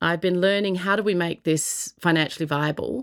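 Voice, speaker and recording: On a very clean recording with a silent background, a woman with an Australian accent talks at a medium pitch with ordinary pitch variation. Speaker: social entrepreneur. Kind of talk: interview answers.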